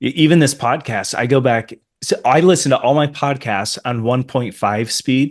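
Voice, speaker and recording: A man speaks at medium pitch with ordinary pitch variation. The background is quiet. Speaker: podcast host and pastor. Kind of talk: podcast interview. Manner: slow.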